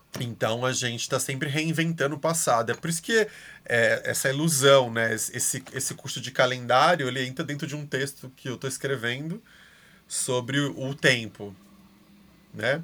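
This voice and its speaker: On a very clean recording with a silent background, a man speaks at a moderate pace and medium pitch, his bright, sharp tone showing ordinary pitch variation. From Brazil. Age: 30s. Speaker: art educator. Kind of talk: casual chat.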